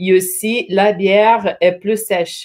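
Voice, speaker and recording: Here a woman speaks with a Portuguese accent at a medium pitch. Her intonation is fairly even. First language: Portuguese (speaking French). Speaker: brewery representative. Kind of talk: casual interview chat. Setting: live stream.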